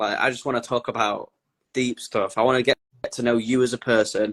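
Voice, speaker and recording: With a Lancashire accent, a man talks at a moderate pace and medium pitch in a dry, close sound with no echo. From northern England, Blackpool. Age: 20s. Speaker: content creator on his personality disorder. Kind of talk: interview.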